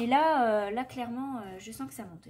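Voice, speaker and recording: There is noticeable background noise as a woman talks at a moderate pace. Her voice is fairly high, with ordinary pitch variation. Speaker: vlogger. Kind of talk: casual vlog. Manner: hesitant, many fillers.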